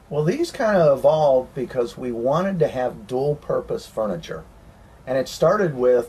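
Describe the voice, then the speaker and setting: At a moderate pace, a man with a Southern US accent speaks at a fairly high pitch. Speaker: RV renovation business owner. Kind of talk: interview.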